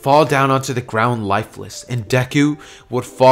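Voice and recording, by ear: Someone reading aloud in a natural voice.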